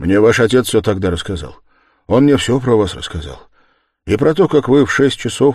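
Plain reading aloud is heard with a quiet background behind it.

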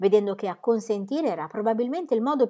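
The clip is plain reading aloud. Nothing else stands out in the delivery.

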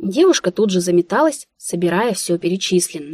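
Quiet surroundings behind a natural reading voice.

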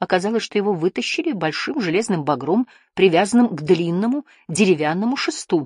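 The intonation turns lively in this unforced reading voice.

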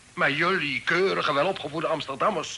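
Putting on a character voice, a man speaks fairly high for a man with a bright, sharp tone, a slightly husky edge, vocal fry and ordinary pitch variation. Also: moderate pace.

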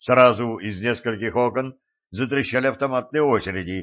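Quiet background behind a natural reading voice, its pitch varying in an ordinary way.

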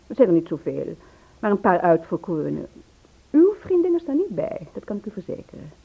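A put-on character voice with vocal fry, a slightly husky edge and big pitch swings, delivered at a fairly quick pace. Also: woman, medium pitch for a woman.

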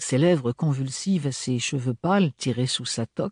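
An unforced reading voice is heard here.

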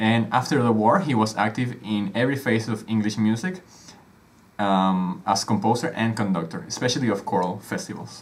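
Lively in intonation, a man speaks with a Spanish accent at a moderate pace. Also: fairly low pitch for a man. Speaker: music podcast co-host. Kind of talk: casual educational chat.

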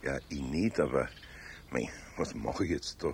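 A man puts on a character voice with an extremely low pitch, vocal fry and a slightly mellow tone. He talks at a fairly slow pace with ordinary pitch variation.

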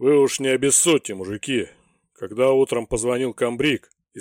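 Fairly even intonation shapes a natural reading voice, with a quiet background behind it.

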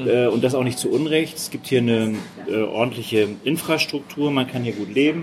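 A man at a medium pitch with ordinary pitch variation and a moderate pace, amid noticeable background noise. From Hamburg, northern Germany. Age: 50s. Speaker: mayoral candidate. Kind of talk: interview.

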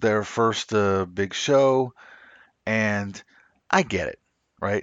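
This man speaks at a very slow pace with an American accent. His pitch is medium. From US South. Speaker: wrestling podcast host. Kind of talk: casual chat.

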